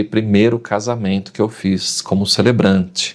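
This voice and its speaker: The speech comes at a very slow pace amid noticeable background noise. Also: man. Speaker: announcer and wedding celebrant. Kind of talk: podcast interview answer. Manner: lively, storytelling.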